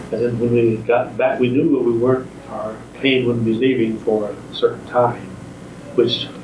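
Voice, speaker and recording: A man with an American accent speaks at a medium pitch and fairly slow pace. His intonation is monotone and flat, with noticeable background noise. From Midwestern US. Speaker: war veteran. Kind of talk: interview answer.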